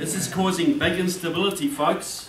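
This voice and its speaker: Amid noticeable background noise and audible room echo, a man with a New Zealand accent speaks at a high pitch. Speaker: political author and speaker. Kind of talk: speech. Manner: animated.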